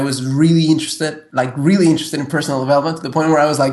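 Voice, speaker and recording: The man speaks in a fairly high pitch with monotone, flat intonation. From Mexico City, Mexico. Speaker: personal development coach. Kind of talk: interview. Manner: halting, many fillers and repeats.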